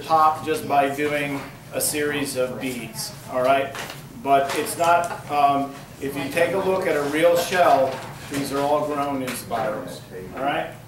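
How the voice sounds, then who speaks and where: Over noticeable background noise and audible room echo, a man speaks at a fairly slow pace with fairly even intonation. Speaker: woodturning demonstrator. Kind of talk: demonstration talk. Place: classroom.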